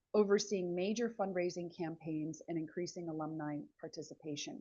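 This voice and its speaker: A woman's fairly low voice at a fairly quick pace, with ordinary pitch variation. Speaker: webinar host, fundraising agency head. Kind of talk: webinar presentation.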